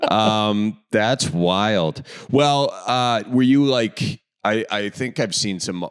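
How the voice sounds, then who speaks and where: Speaking with a Wisconsin accent, a man talks at a very slow pace and a fairly low pitch. His pitch variation is ordinary. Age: 30s. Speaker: podcast host. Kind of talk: casual interview chat.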